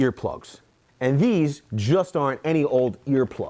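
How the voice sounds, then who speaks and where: A man talks in an animated tone. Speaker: construction tool reviewer. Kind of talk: product review. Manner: loud.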